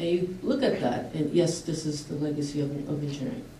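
A woman with a very deep, low voice speaks at a moderate pace with fairly even intonation, with light background noise and audible room echo. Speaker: engineering professor. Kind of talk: panel presentation. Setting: stage with audience. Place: hall. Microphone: camera far.

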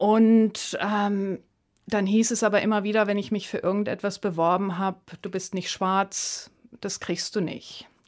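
A very clean recording against a silent background, spoken at a fairly slow pace. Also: woman. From Namibia, Swakopmund area. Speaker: artist. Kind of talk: radio interview. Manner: hesitant, many filler sounds.

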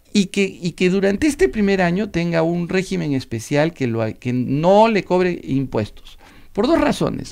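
This man's voice sits high and swings very widely in pitch as he talks at a fairly slow pace. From Peru, Arequipa. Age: 50s. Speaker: politician and law professor. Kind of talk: radio interview.

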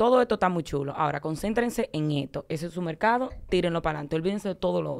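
Against a quiet background, a woman talks at a very fast pace. Her pitch is fairly low and her intonation lively. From Dominican Republic. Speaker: guest's daughter; guest. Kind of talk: casual chat. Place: studio. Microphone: studio mic.

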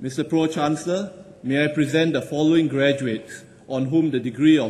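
Speaking at a moderate pace, a man uses a fairly high pitch and fairly even intonation. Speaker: ceremony announcer. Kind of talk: graduation ceremony name-reading, formal. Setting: ceremony hall, public address. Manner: formal, measured, steady cadence. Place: hall. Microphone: podium.

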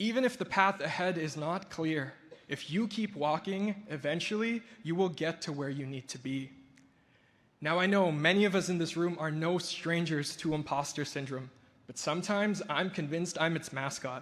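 Pitched high, a man speaks with ordinary pitch variation. His pace is moderate. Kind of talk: ceremony speech. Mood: reflective, warm, lightly humorous. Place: hall. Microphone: podium.

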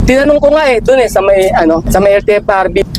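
There is noticeable background noise. Through it, a man talks at a high pitch with ordinary pitch variation. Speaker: delivery truck driver and vlogger. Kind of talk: casual vlog.

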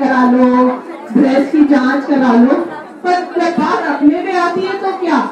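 A woman's high voice at a very slow pace, with audible room echo and crowd noise in the background. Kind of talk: public speech at a function. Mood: warm, cheerful. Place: hall.

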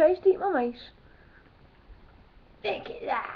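Here a woman with a Glasgow accent speaks at a fairly slow pace. Her extremely high pitch swings very widely. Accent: Glasgow Scottish. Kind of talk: casual talk to camera. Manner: casual, swearing, jokey.

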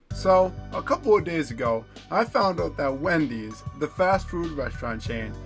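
A man speaks at a moderate pace. Behind him, music is playing. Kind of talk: casual talk to camera.

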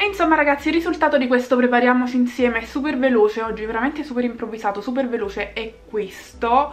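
A woman speaks in a high pitch with ordinary pitch variation. She goes at a very fast pace with hardly any pauses. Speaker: beauty vlogger. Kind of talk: casual chat. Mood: warm, upbeat. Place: home room. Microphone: phone near.

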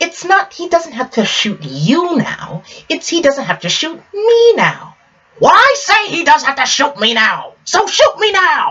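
A man does a put-on character voice at an extremely high pitch, speaking at a fairly slow pace. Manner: indignant, blustering.

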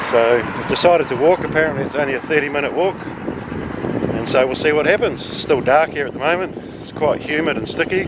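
Amid loud background noise, a man talks at a fairly quick pace with ordinary pitch variation, and the sound is dry with no echo. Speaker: travel vlogger. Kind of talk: casual vlog chat. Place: street. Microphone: phone near.

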